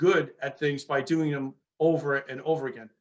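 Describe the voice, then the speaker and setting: A man with a fairly high pitch speaks in a New York accent. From New York, Long Island. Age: 60s. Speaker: former police sergeant and author. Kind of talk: interview.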